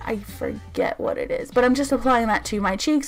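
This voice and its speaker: A woman holds a moderate pace, with noticeable background noise around her speech. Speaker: beauty youtuber. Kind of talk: tutorial. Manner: stumbling over words at times.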